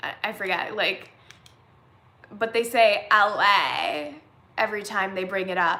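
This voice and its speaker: A woman talks at a fairly slow pace in an animated tone. Her tone is bright and sharp, and there is audible room echo. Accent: Californian. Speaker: vlogger. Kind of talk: casual live-stream chat. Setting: live stream.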